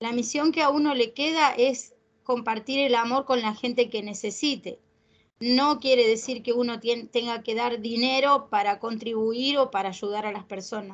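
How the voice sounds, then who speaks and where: A woman with a Rioplatense accent, high-pitched, at a moderate pace with fairly even intonation. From Argentina. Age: 50s. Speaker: grief support group leader; host of a spiritual talk. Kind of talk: interview. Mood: warm, emotional. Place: home room. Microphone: video call.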